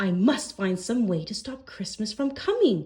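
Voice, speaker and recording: In a put-on character voice, a woman growls in a gravelly, nervous tone at a fairly high pitch and a moderate pace. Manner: growling, scheming, nervous.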